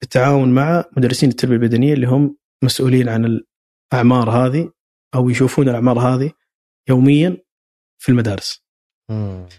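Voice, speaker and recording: With a dark, mellow tone, a man speaks at a moderate pace and medium pitch, his intonation fairly even, in a dry, close sound with no echo. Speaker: sports institute director and football coach. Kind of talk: interview. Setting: institute office. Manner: halting, repeated words.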